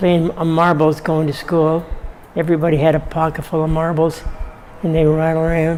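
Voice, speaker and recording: The man's pitch is fairly high, and he keeps a moderate pace. There is noticeable background noise in the recording. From Ontario, Canada. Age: 90s. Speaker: elderly local resident. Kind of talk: oral history interview. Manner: halting, many fillers and repetitions.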